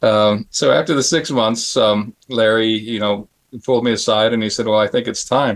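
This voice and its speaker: A man with a normal speaking voice, medium pitch, fairly even intonation, and a moderate pace. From US Southwest, Phoenix, Arizona. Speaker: special effects artist. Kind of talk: panel interview storytelling. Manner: casual, many fillers and restarts.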